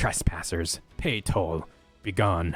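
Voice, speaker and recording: Putting on a character voice, a man hisses at a very deep, low pitch while faint music plays in the background. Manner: menacing, demanding.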